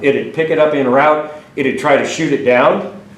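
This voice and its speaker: With noticeable background noise and audible room echo, a man with an American accent talks at a fairly high pitch with ordinary pitch variation. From Washington state. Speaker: retired army colonel. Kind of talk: slide presentation talk. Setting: meeting room with audience. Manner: fast.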